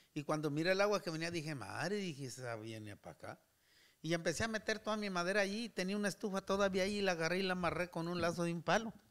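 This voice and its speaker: A high-pitched man speaks very fast with ordinary pitch variation against a quiet background. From Durango, Mexico. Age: 70s. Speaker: retired worker, host's uncle; host's uncle. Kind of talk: casual interview chat. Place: home room. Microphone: studio mic.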